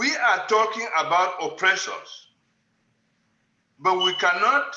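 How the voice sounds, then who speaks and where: A man talks at a very slow pace in a high pitch, his voice raised and projected. His pitch varies in an ordinary way, and room echo is audible. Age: 70s. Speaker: panel participant, writer. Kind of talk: panel discussion. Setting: video call.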